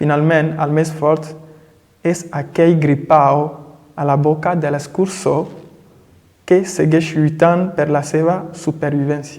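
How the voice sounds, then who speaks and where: Very slowly and in a monotone, flat intonation, a man with fairly high pitch speaks, leaving long, frequent pauses. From Togo. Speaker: poet and language teacher. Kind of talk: poetry reading. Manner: friendly.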